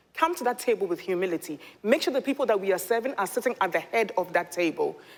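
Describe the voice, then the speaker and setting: A woman speaks in an animated tone at a fairly high pitch. Her pitch swings very widely. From Ghana (Accra). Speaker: nonprofit leader. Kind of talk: panel discussion. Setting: stage with audience. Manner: loud.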